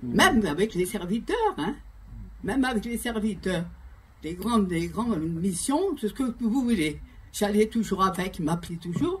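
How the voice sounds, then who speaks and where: A woman's lively intonation comes through a somewhat breathy voice. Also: medium pitch for a woman, fairly slow pace. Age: 80s+. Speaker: pastor's widow giving testimony. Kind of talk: testimony. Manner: halting.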